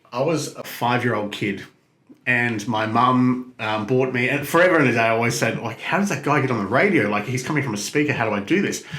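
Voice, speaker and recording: Very fast speech in an Australian accent, with ordinary pitch variation and audible room echo. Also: man, medium pitch for a man. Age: 30s. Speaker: radio host. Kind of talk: interview. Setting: studio. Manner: clear, projected.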